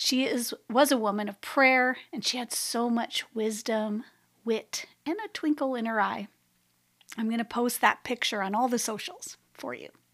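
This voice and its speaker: On a very clean recording with a silent background, a woman with an ordinary speaking voice and a fairly high pitch speaks at a moderate pace with ordinary pitch variation. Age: 50s. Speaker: spiritual practices podcast host. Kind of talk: solo reflective monologue.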